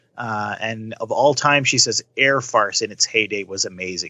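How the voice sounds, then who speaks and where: With a Canadian accent and a normal speaking voice, a man of medium pitch talks at a moderate pace with fairly even intonation. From Canada. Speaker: podcast co-host. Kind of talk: casual chat.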